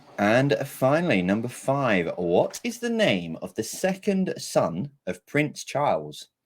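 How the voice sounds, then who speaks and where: Speaking with vocal fry, a man at medium pitch swings his pitch very widely. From England. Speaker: quiz master. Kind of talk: live virtual pub quiz hosting.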